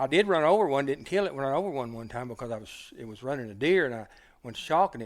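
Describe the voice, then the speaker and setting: With an Oklahoma accent, a man talks at a very fast pace, using lively intonation and big swings in loudness. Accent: rural southern US (Oklahoma). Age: 60s. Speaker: hunter and dog man. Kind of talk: casual storytelling interview. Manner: halting, repeats words.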